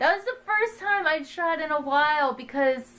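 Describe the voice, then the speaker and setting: Raised and projected, a woman's voice sounds bright and sharp, with an animated tone and lively intonation. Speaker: vlogger. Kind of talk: casual chat.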